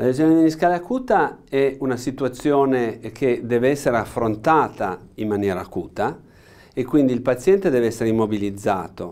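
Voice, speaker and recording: His intonation rises and falls in a lively way. This man keeps to a moderate speed. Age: 60s. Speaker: orthopaedic knee surgeon, professor; orthopedic professor. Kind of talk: expert interview explanation. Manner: halting, many fillers and repetitions. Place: studio.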